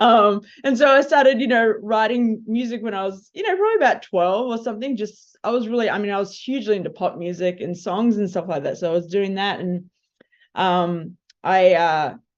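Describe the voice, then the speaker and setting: Against a quiet background, a woman with an Australian accent speaks at a medium pitch and fairly quick pace with ordinary pitch variation. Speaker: film composer. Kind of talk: panel discussion.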